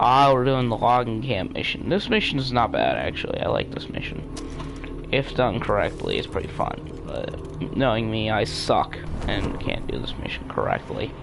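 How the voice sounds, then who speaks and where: A man's voice with music in the background and audible room echo. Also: moderate pace. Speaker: gaming streamer. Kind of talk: live gameplay commentary. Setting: live stream. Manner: loud; halting.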